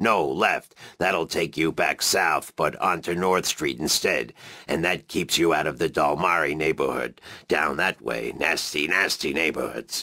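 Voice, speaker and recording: A man uses a put-on character voice with a very deep, low pitch, ordinary pitch variation, a moderate pace and very even loudness. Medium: video game. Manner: rambling, fussy.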